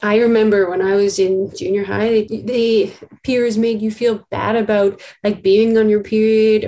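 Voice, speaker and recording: Speaking at a fairly slow pace with hardly any pauses, a woman has a fairly high pitch, a dark, mellow tone and big swings in loudness. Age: 20s. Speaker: graduate student in public health. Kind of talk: interview.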